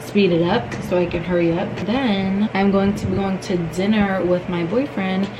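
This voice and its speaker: Her voice sits at a medium pitch, with a moderate pace and fairly even intonation. The recording has noticeable background noise and audible room echo. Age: 20s. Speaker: lifestyle vlogger. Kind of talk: vlog talk to camera.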